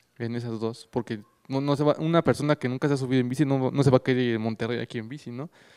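A man at a medium pitch with fairly even intonation and a very fast pace, against a quiet background. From Mexico City. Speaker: recycling initiative founder; conference presenter. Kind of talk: conference talk; panel Q&A. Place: hall. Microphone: handheld.

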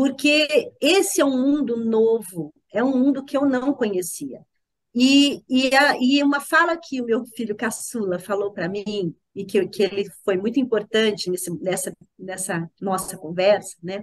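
A woman's lively intonation comes through at a fairly slow pace over a quiet background. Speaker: mother and former school principal; podcast guest. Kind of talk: interview. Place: home room. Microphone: video call.

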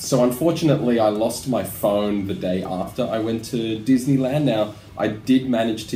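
Over light background noise and audible room echo, a man talks at a moderate pace with a fairly low pitch and ordinary pitch variation. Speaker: travel vlogger. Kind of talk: casual vlog chat. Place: home room. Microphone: webcam.

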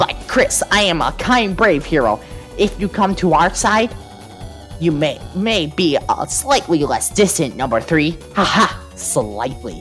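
Over clear music in the background, a strained, put-on character voice moves at a fairly slow pace. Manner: heroic, theatrical.

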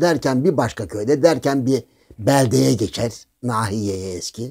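A man speaks at a very slow pace with lively intonation and a dark, mellow tone, over a quiet background. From Thrace, Turkey; Turkey. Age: old. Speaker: political commentator. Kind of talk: casual monologue with anecdotes. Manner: animated storytelling, frequent laughter. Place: home room.

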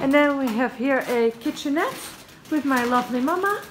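Noticeable background noise under a woman's high voice, moderate in pace and ordinary in pitch variation. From Netherlands. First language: Dutch. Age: 20s. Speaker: vlogger. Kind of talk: casual vlog. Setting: hotel room. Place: home room. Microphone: phone near.

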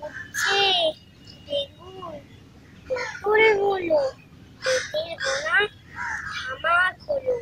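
At an extremely high pitch, a woman speaks in a raised, projected voice with very wide pitch swings. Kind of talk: poetry reading.

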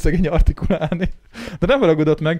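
A man's high-pitched, dark, mellow voice at a very fast pace, with ordinary pitch variation over a quiet background. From Hungary. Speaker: podcast host. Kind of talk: casual chat. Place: studio. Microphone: studio mic.

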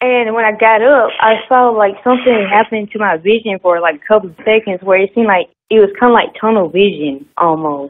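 A woman with a fairly high pitch talks at a fairly quick pace with hardly any pauses, ordinary pitch variation and big swings in loudness, over light background noise. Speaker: caller. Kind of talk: phone question to host; casual conversation on call. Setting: phone call. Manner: halting. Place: home room. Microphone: video call.

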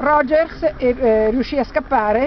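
Over noticeable background noise, a woman speaks in a high pitch with lively intonation, and the sound is dry with no echo. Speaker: tour guide. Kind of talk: guided tour commentary. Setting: outdoors. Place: open country. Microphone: phone near.

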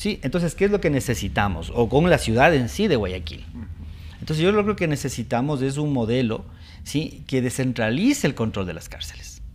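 A man's medium-pitched voice with vocal fry and very wide pitch swings, at a moderate pace. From Ecuador, Latacunga (Andean highlands); Ecuador. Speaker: judge; TV show guest or host, lawyer. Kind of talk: TV interview. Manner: hesitant, many fillers. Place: studio. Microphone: lapel.

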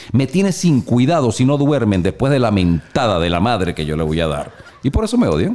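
Talking at a fairly quick pace, a man makes very wide pitch swings. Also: medium pitch for a man. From Venezuela. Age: 50s. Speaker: motivational speaker and publisher; motivational speaker. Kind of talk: casual chat. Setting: studio. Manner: animated. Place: home room. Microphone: studio mic.

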